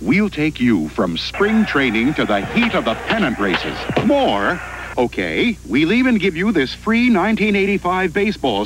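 Over music in the background, a man speaks at a moderate pace with very wide pitch swings, the sound dry with no echo.

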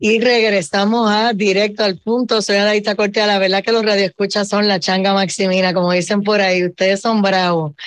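Speaking at a fairly quick pace with hardly any pauses, a woman keeps a monotone, flat intonation and very even loudness. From Puerto Rico. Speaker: radio show host. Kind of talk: radio talk show moderation. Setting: radio studio broadcast. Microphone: video call.

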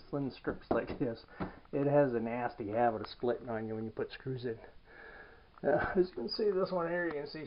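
Light background noise accompanies a man talking at a fairly quick pace. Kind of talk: tutorial. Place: home room. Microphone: phone near.

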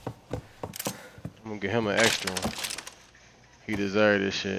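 A man speaks against noticeable background noise. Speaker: gaming streamer. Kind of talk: live gameplay commentary. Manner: animated.

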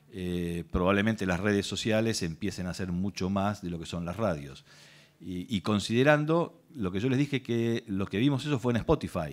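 With lively intonation and a fairly low pitch, a man talks at a moderate pace. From Argentina. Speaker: lawyer, intellectual property specialist, speaker; speaker, lawyer. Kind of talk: workshop talk. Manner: hesitant, repeats words. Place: hall. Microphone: podium.

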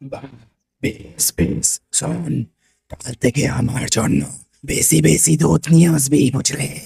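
A man speaks at a very slow pace in a raspy, medium-pitched cartoonish character voice. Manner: bossy, gluttonous.

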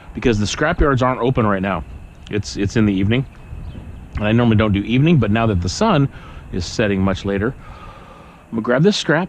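A man at a very fast pace, ordinary pitch variation, dry sound with no echo and light background noise. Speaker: scrap collector vlogger. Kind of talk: casual vlog chat. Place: street. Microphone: phone near.

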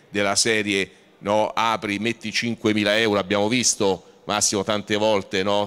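A man speaks in a fairly low register with a bright, sharp tone. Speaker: trade association executive; panel moderator. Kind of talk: panel discussion. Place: hall. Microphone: handheld.

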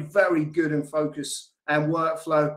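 A man speaks with an American accent. His voice sits fairly high in pitch. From Scotland. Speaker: software company CEO and founder hosting a webinar. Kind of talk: online webinar presentation. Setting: video call. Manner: animated.

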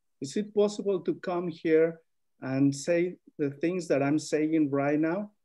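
Against a quiet background, a man with a Spanish accent speaks fairly slowly in a fairly high pitch, with a dark, mellow tone and ordinary pitch variation. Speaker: migrant farm worker; panelist. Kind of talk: webinar panel testimony. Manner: halting. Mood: earnest, serious. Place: home room. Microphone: video call.

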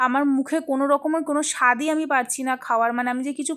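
A woman speaks at a high pitch in a monotone, flat intonation. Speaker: lifestyle vlogger. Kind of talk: vlog narration.

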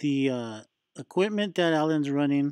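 The sound is dry with no echo, against a quiet background. The pace is moderate. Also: man. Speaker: reef hobby channel host. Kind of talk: casual vlog chat. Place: shop. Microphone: phone near.

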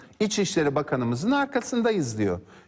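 A man's fairly quick delivery with vocal fry and very wide pitch swings. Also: quiet background. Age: 50s. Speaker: lawyer and politician; lawyer, politician. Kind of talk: TV political interview. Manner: animated. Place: studio. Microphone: lapel.

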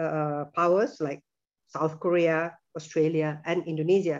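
This is a normal speaking voice at a moderate pace. The background is quiet. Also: woman. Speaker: presenter. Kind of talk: lecture. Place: home room. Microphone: video call.

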